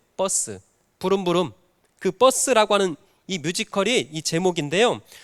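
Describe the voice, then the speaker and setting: A man's high-pitched voice at a moderate pace with lively intonation, in a very clean recording with a silent background and a dry, close sound with no echo. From North Jeolla, South Korea (Jinan). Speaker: pastor. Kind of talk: sermon. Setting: church.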